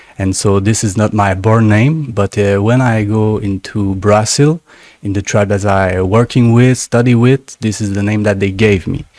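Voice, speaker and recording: A man with a French accent speaks at a moderate pace. His pitch is fairly low, with fairly even intonation. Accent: French-speaking accent in English. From Canada, French-speaking. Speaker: shaman, plant medicine healer. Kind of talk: interview. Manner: halting, searching for words.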